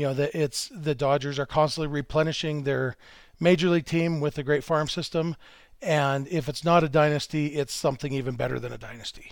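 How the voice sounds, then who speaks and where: A man with an ordinary speaking voice talks at a fairly quick pace and fairly high pitch, his intonation fairly even. The recording is very clean, with a silent background. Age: 40s. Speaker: baseball writer. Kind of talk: casual chat.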